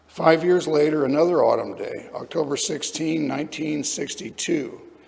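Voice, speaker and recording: At a moderate pace, a man speaks in a fairly high pitch with an American accent. Noticeable background noise runs under his voice. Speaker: lay speaker at a church service. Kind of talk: sermon.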